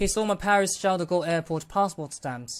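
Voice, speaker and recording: A man with a London accent talks at a fairly quick pace with ordinary pitch variation on a very clean recording with a silent background. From Hong Kong. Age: 20s. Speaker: vlogger. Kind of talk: personal account.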